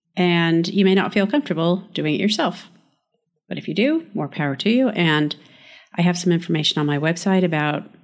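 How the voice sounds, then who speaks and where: At a moderate pace, a woman with a plain, everyday voice talks at a fairly low pitch with ordinary pitch variation. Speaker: podcast host and architect. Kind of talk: interview conversation, podcast.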